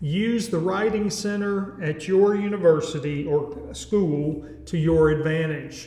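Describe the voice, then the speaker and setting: Noticeable background noise sits behind a man with a Southern US accent. His fairly high voice runs on with hardly any pauses. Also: ordinary pitch variation, fairly slow pace. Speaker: educator, music teacher. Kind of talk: tutorial. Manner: casual, halting with fillers.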